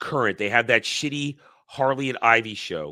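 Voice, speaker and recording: In a very clean recording with a silent background, a man with a New York accent speaks in a bright, sharp tone with ordinary pitch variation. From New York tri-state area, US East Coast. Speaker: livestream commentator on pop culture. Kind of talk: casual live chat. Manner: can speak very quickly.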